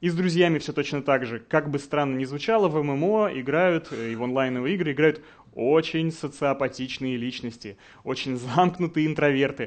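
Speaking at a moderate pace, a man uses a fairly high pitch with ordinary pitch variation. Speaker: game design director; conference speaker. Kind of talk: conference talk. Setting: stage with audience. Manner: confident, instructive. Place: hall.

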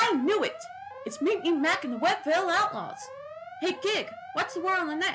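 A put-on character voice at an extremely high pitch moves at a fairly quick pace with long, frequent pauses. Clear background noise is present. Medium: fan dub. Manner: brisk, confident.

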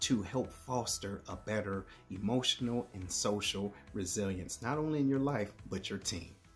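With music in the background, a man speaks at a moderate pace. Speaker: motivational speaker, Air Force retiree and author. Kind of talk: motivational speech to camera. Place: home room. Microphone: phone near.

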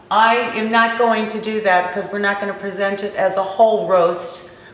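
Room echo is audible. The intonation stays monotone and flat. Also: woman. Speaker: cooking show host. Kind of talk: tutorial. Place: kitchen.

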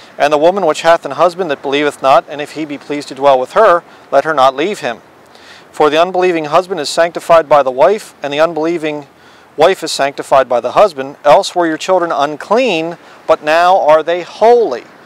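A man at a fairly quick pace with ordinary pitch variation, in a dry sound with no echo. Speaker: bible teacher. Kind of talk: sermon. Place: waterside.

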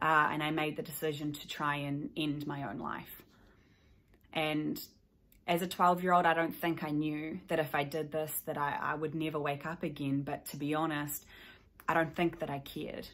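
In a New Zealand accent, a woman with a very deep, low pitch speaks at a moderate pace in a monotone, flat intonation. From New Zealand, South Island. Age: 20s. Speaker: mental health advocate, YouTuber. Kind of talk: personal testimony to camera. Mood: somber, reflective. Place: home room. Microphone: phone near.

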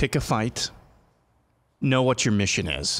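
A man speaks at a fairly slow pace with vocal fry. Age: 30s. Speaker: talk show co-host. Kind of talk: political talk show. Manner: animated. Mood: earnest, emphatic. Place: studio. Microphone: studio mic.

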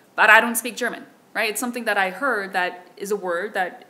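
A woman speaks with a Korean accent. Her pitch is fairly high. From South Korea. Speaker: keynote speaker, researcher; keynote speaker. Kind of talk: conference Q&A answer. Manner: hesitant, many fillers. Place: hall. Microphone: podium.

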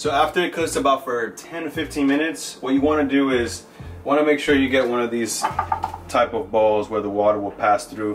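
Music plays behind a man who speaks at a moderate pace with ordinary pitch variation. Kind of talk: cooking tutorial. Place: kitchen. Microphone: camera far.

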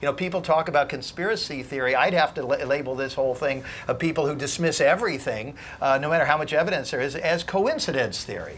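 A very fast, fairly high male voice with an American accent, ordinary pitch variation, and light background noise. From New York. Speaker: investigative journalist and author; author on a discussion panel. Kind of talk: panel discussion. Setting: stage with audience. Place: hall.

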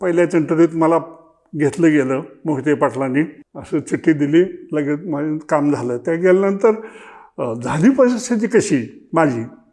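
His voice fairly high and dark, mellow in tone, a man speaks with lively intonation. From Maharashtra, Solapur district (Pandharpur area). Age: 70s. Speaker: retired cooperative officer. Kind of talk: life-story interview.

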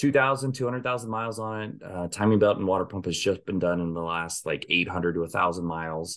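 Very deep and low, a man's voice runs with hardly any pauses and ordinary pitch variation. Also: moderate pace. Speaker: podcast host. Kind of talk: casual podcast chat. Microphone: video call.

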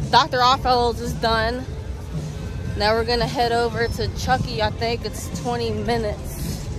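A woman's voice, dry with no echo, over clear background music. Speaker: vlogger. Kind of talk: casual vlog chat. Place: street. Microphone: phone near.

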